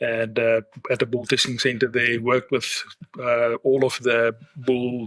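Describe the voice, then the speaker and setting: A man with a South African accent speaks at a moderate pace in a medium pitch and a bright, sharp tone, with a dry, close sound and no echo. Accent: Afrikaans-accented English. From South Africa, Afrikaans-speaking. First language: Afrikaans. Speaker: livestock genetics executive. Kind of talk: interview podcast.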